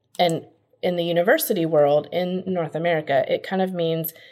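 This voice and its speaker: A woman's ordinary speaking voice, fairly low in pitch, at a moderate pace on a very clean recording with a silent background. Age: 40s. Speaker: college financial aid consultant. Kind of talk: casual interview.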